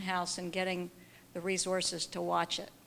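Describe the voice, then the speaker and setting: A woman speaks at a medium pitch. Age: 60s. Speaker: audience member, long-time care professional. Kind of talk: audience question. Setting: symposium audience.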